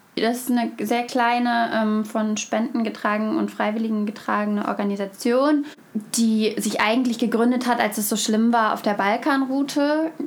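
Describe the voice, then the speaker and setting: Noticeable background noise surrounds a woman with a fairly high pitch. She talks at a moderate pace with fairly even intonation. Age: 20s. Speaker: student and refugee aid volunteer. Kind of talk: interview. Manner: hesitant with fillers.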